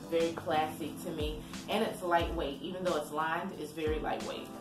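A woman talks at a moderate speed while music plays clearly behind her. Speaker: thrift haul vlogger. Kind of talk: casual vlog chat. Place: home room. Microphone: phone near.

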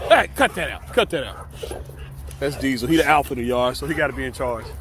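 A man at a medium pitch, fast pace and fairly bright tone, over faint background noise. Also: lively intonation.

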